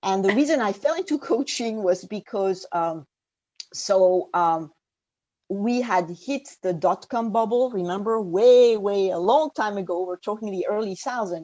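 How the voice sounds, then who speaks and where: The woman's tone is dark and mellow. She talks fairly slowly. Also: medium pitch for a woman, lively intonation. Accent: French. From France. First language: French. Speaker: executive coach. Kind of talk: interview conversation. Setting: remote call. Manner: hesitant, many fillers.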